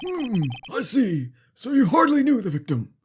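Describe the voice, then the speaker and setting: At a moderate pace, a man does a put-on character voice with an extremely high pitch and very wide pitch swings. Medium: game stream. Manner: formal, ponderous.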